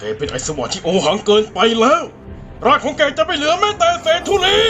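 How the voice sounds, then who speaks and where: With clear music in the background, a man performs a cartoonish character voice. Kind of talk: anime fan dub. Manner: haughty, furious.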